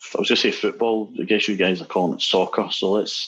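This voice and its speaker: A man of medium pitch talks in a Scottish accent at a fairly quick pace. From Scotland. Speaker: musician and app developer. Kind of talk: casual chat.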